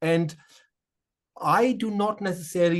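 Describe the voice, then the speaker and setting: A man is speaking. He has a German accent. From Germany, Offenbach near Frankfurt. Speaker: shaman and spiritual medium. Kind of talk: interview conversation. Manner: hesitant, many fillers and repeats.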